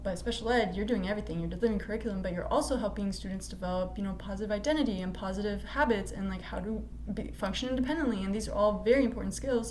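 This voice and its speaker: A woman talking at a very fast pace, with noticeable background noise and audible room echo. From US. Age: 20s. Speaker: student. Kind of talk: class presentation. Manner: casual with many fillers.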